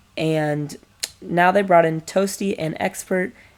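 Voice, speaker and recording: A woman talks very slowly, her pitch varying in an ordinary way. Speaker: esports podcast host. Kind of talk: solo podcast commentary. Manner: halting, with frequent fillers.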